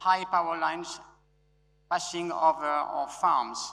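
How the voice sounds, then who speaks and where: A man with a French accent speaks at a fairly slow pace, with a fairly high pitch and a bright, sharp tone. His intonation is fairly even, and audible room echo surrounds him. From France. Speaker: conference speaker. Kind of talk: conference talk. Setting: stage with audience. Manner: loud; halting.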